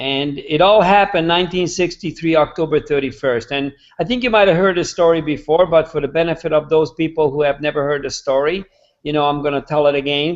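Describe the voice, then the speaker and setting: A man with a Hungarian accent, fairly high pitch, ordinary pitch variation and a fairly quick pace. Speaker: real estate agent. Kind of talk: storytelling in a live video interview. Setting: live online video hangout.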